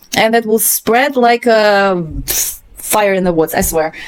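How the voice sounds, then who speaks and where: A woman speaks with a non-native accent at a fairly high pitch. Her pace is moderate, with ordinary pitch variation. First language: not English. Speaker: book commentator. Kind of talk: reading aloud with casual commentary. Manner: hesitant, halting with fillers.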